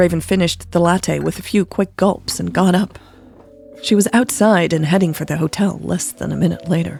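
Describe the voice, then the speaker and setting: A woman speaks at a moderate speed as music plays behind her. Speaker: podcast story narrator. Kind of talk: romance audio story reading. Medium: read story.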